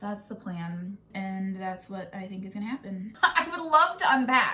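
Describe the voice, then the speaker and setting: A woman speaks at a moderate pace with lively intonation. Music plays in the background. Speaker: home renovation vlogger. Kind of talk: casual vlog chat. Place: home room. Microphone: phone near.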